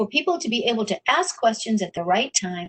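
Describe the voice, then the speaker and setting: The sound is dry and close with no echo. A woman speaks somewhat breathily at a fairly high pitch, with very wide pitch swings. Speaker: workshop instructor. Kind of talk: webinar tutorial.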